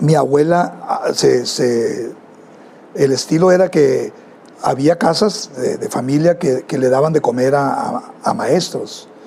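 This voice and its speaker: This man's speech is very slow, with noticeable background noise behind it. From Mexico, Culiacán, Sinaloa. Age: 70s. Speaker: music teacher and band director. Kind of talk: interview. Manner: halting, with many repetitions and fillers.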